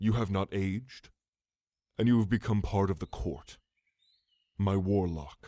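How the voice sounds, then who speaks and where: A man's put-on character voice at a fairly low pitch and moderate pace, with long, frequent pauses, on a very clean recording with a silent background. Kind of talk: ASMR roleplay. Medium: audio drama. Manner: regal, measured, condescending.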